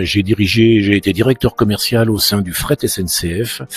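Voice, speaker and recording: Recorded with a dry, close sound and no echo, a man speaks at a fairly low pitch with fairly even intonation. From France, Île-de-France (Yvelines). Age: 60s. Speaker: mayor and local politician. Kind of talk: interview. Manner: hesitant, many fillers and repetitions.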